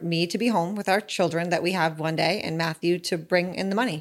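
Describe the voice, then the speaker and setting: An unremarkable speaking voice from a woman, medium in pitch, with ordinary pitch variation and a fairly quick pace. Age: 30s. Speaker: podcast host's wife. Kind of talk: casual chat. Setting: studio.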